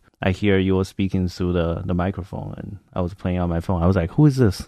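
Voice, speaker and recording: A man with a Chinese accent talks at a very fast pace in a very deep, low pitch with a dark, mellow tone. His intonation is fairly even, and the background is quiet. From China. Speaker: artist, podcast co-host. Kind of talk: casual chat.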